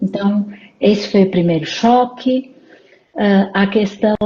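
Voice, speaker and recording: A woman at medium pitch, speaking at a very slow pace. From Portugal, Porto. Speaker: psychologist and leadership coach. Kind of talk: interview in a live stream. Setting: live stream.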